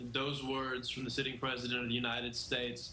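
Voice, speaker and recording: Amid noticeable background noise and audible room echo, a man at medium pitch talks at a fairly quick pace. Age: young. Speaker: activist. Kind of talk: TV news interview.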